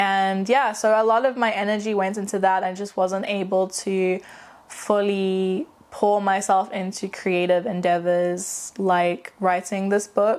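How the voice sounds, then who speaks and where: At a fairly slow pace, a woman speaks in a medium pitch with monotone, flat intonation. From South Africa. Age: 20s. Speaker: aspiring novelist, vlogger. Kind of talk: casual vlog monologue.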